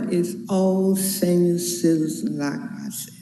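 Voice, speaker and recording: At a very slow pace, a woman with a medium pitch speaks over noticeable background noise and audible room echo. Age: 80s+. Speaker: resident speaking at public hearing. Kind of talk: public comment at hearing.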